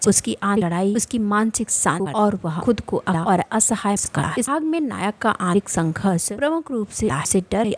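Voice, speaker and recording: Against noticeable background noise yet with a dry, close sound with no echo, a woman speaks at medium pitch and a moderate pace with lively intonation and hardly any pauses. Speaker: voice-over narrator. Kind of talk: anime recap narration.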